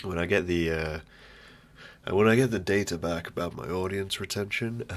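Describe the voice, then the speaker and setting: This speaker has a British accent, talks at a moderate pace, and uses ordinary pitch variation. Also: man. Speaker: podcast host. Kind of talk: casual solo monologue. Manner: rambling, halting.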